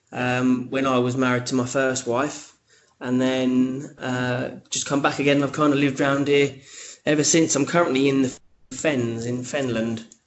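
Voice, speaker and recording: In a London accent, a man speaks at a moderate pace. His pitch is medium and his intonation flat and monotone. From eastern England, Cambridgeshire. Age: 30s. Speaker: podcaster and radio host, teacher. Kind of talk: casual interview chat. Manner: hesitant, many fillers and repeats.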